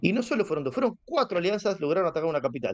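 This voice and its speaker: The voice carries a Rioplatense accent and swings very widely in pitch. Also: man. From Buenos Aires, Argentina. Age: 40s. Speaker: online gamer, guild leader. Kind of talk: casual interview.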